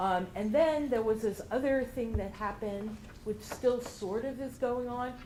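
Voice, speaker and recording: A woman speaks at a fairly slow pace in a fairly high voice with ordinary pitch variation, and room echo can be heard. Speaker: regional center health services director. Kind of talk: presentation. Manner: loud.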